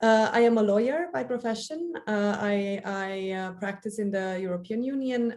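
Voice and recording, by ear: A woman's voice at medium pitch, slightly mellow in tone. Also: ordinary pitch variation, moderate pace.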